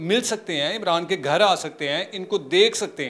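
This man talks at a fairly slow pace. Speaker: channel host appealing for help. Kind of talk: interview wrap-up appeal. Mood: earnest, pleading. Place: home room. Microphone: handheld.

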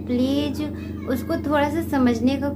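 A woman speaks with music in the background. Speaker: home vlogger. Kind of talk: casual vlog chat. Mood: earnest, explaining herself. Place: home room. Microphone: phone near.

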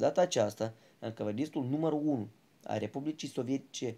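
The man's voice carries a dark, mellow tone. Its pitch moves in ordinary ways. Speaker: history student presenter. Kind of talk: scripted narration.

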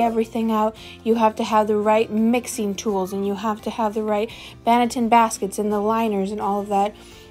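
A woman speaks at a moderate pace with monotone, flat intonation while faint music plays in the background. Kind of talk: tutorial. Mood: relaxed, encouraging. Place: kitchen. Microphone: phone near.

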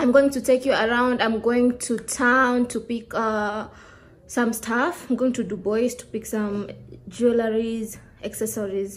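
Her intonation fairly even, a woman speaks at a fairly slow pace. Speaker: vlogger. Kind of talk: casual vlog chat. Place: home room. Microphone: phone near.

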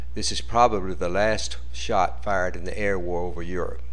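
There is noticeable background noise as a man with a very deep, low pitch talks at a moderate pace with very wide pitch swings. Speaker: documentary narrator. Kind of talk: wartime-documentary-style narration over archival footage. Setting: voiceover on a slideshow video. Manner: formal, steady, newsreel-like delivery.

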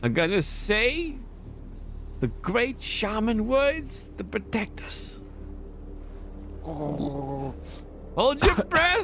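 A man puts on a character voice with a theatrical tone, speaking at a very slow pace with long, frequent pauses. Clear background noise can be heard. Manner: frantic, zealous, theatrical.

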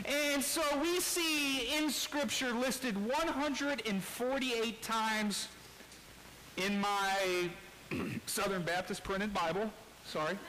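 A man's raised, projected voice over light background noise. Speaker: preacher. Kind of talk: sermon. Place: church.

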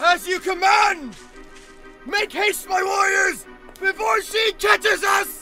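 Over clear music in the background, a man in a cartoonish character voice speaks at an extremely high pitch and a fairly slow pace, with long, frequent pauses. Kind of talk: comedic anime fan dub. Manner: exaggerated, grandiose.

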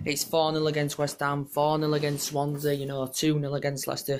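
A man's very fast, monotone, flat delivery over light background noise. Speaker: football fan vlogger. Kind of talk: casual vlog match review. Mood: pleased about the win. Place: home room. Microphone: phone near.

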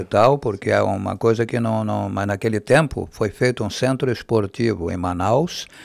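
The speaker uses vocal fry and ordinary pitch variation at a moderate pace with hardly any pauses, in a dry sound with no echo over a quiet background. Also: man, fairly low pitch for a man. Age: 80s+. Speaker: former radio announcer and TV news presenter. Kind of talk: interview answer. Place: studio. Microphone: studio mic.

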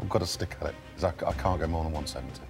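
Someone talks at a very fast pace with clear music playing in the background. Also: man. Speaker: antique dealer bidding on items. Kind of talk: casual talk to camera. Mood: apologetic, firm. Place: studio.

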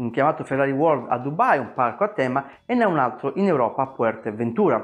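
A man with lively intonation at a fairly quick pace, against a quiet background. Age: 40s. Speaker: personal finance youtuber. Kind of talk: video monologue. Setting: at home. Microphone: lapel.

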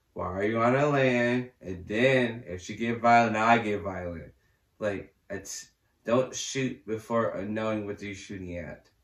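A man at a fairly slow pace, with big swings in loudness and audible room echo. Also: ordinary pitch variation. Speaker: reaction video creator. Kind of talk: casual reaction commentary. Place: home room.

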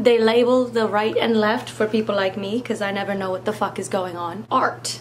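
Noticeable background noise surrounds a woman's fairly high-pitched voice. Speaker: makeup vlogger. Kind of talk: comedic makeup tutorial. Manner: deadpan.

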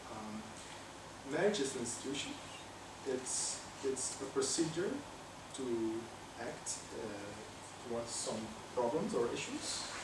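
A man talks very slowly, with long, frequent pauses, as noticeable background noise continues behind him. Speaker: professor. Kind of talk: lecture. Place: classroom.

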